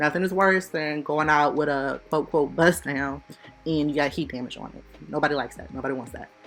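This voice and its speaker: A woman's very deep, low voice at a fairly quick pace, with ordinary pitch variation, big swings in loudness and music in the background. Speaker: beauty YouTuber. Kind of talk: tutorial. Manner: fast; casual.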